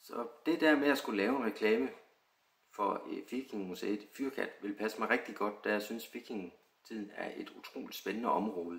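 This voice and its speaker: A plain, everyday voice speaks at a moderate pace. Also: man, medium pitch for a man, ordinary pitch variation. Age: 30s. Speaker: extra actor applicant. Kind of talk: self-introduction video.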